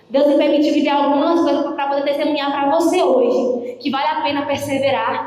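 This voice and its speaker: Noticeable background noise and audible room echo surround a woman talking at a fairly quick pace. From Minas Gerais, Brazil. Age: 20s. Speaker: preacher. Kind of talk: sermon. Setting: prayer group meeting with audience. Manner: animated.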